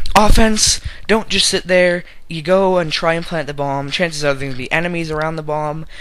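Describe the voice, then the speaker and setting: Noticeable noise sits behind the speaker. He is a man with a fairly high voice and ordinary pitch variation. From Canada. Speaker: gamer video creator. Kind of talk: casual gameplay commentary. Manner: casual, rambling, filler words.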